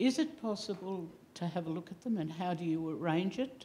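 A woman's fairly low, somewhat breathy voice with a dark, mellow tone and an Australian accent. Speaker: audience member. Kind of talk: audience question. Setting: stage with audience. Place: hall. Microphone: headset.

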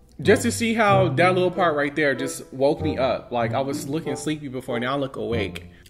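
A man's fairly high voice at a moderate pace, with lively intonation over clear music in the background. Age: 20s. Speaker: YouTuber, beauty and lifestyle vlogger. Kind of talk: casual talk to camera. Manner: upbeat, chatty.

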